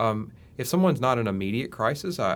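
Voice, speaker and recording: A man speaks with a Mississippi accent. His pitch is fairly low. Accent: Mississippi Southern. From Mississippi, US South. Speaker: university health extension specialist. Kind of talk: interview conversation. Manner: halting, many repetitions.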